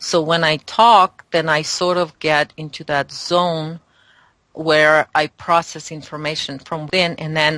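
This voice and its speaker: A woman with a non-native accent speaks at a very deep, low pitch, her tone bright and sharp. Her intonation is fairly even, and the sound is dry and close with no echo. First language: not English. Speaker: spiritual guest. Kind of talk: interview. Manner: halting.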